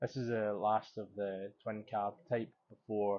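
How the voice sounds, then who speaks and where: With a Scottish accent, a man speaks in a relaxed tone at a fairly low pitch, his intonation monotone and flat. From Scotland. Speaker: motorcycle vlogger. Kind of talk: voice-over narration.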